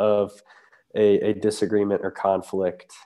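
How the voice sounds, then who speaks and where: A man's fairly low voice with a dark, mellow tone, at a very slow pace over a quiet background. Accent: Midwestern American. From US Midwest, southeast Ohio. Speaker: campus ministry staff. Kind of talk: interview on faith topic.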